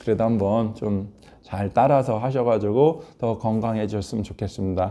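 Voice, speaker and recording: A man's dark, mellow tone at a medium pitch. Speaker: hand acupuncture instructor. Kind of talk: tutorial.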